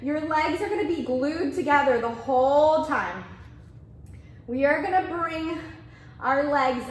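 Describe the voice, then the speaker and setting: Audible room echo fills the space. A woman with a high pitch speaks at a fairly slow pace. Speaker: fitness instructor. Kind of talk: guided Pilates class. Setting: video class from a studio. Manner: calm, rhythmic, coaching cues with counted breaths; encouraging, upbeat. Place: gym.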